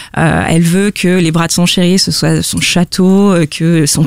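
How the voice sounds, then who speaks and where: A woman's voice at a very slow pace, dry and close with no echo. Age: 20s. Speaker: listener guest. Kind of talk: casual chat.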